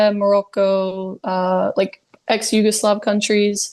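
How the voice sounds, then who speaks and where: The background is quiet. A woman speaks at medium pitch. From Canada, Ontario. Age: 20s. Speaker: outdoor adventurer. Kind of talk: podcast interview.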